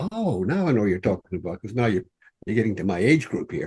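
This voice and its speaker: In an Irish accent, a man with a dark, mellow tone speaks with very wide pitch swings. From Ireland. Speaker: author. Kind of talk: interview. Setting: podcast. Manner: halting, repeats words.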